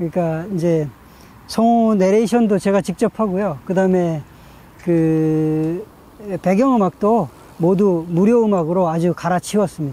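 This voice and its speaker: High-pitched and with ordinary pitch variation, a man speaks at a fairly slow pace in a dry sound with no echo. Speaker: channel host. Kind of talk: casual vlog chat. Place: garden.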